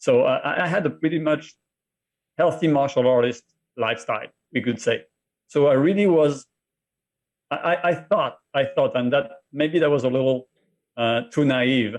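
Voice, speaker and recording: A man with a French accent and a fairly high pitch, his loudness very even, with long, frequent pauses. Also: ordinary pitch variation, moderate pace. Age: 50s. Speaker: martial artist and cancer survivor. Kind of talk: interview.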